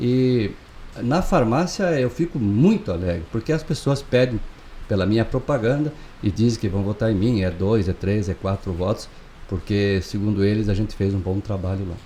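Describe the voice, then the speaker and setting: A man's fairly low, dark, mellow voice, somewhat breathy, with lively intonation at a moderate pace. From southern Brazil, Chapecó (Santa Catarina). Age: 60s. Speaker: pharmacist and local election candidate. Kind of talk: interview. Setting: studio.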